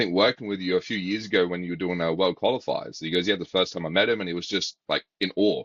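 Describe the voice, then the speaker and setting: With an Australian accent, a man speaks at a very fast pace in a very deep, low voice, his intonation fairly even and hardly any pauses. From Australia, South Australia. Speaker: baseball academy coach and interviewer. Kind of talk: casual interview chat.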